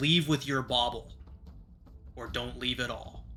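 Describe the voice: A man does a put-on character voice, growling and guttural at a medium pitch. He keeps a moderate pace, and background noise is clearly heard.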